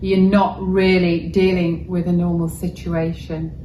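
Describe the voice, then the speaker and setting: A very slow pace with audible room echo. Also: woman. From Wales. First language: Welsh. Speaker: journalist. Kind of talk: interview. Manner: measured, articulate.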